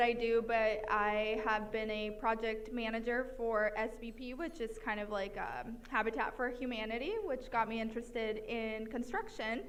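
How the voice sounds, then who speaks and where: With audible room echo and noticeable background noise, a woman speaks at a moderate pace in a fairly high pitch, keeping her intonation fairly even and hardly pausing. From Mexico. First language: Spanish. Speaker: financial planner. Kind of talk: self-introduction at meetup.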